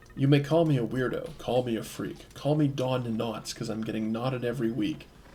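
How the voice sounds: In a raspy, cackling put-on character voice, a man talks at a medium pitch and fairly quick pace with fairly even intonation, while clear background noise sits behind him.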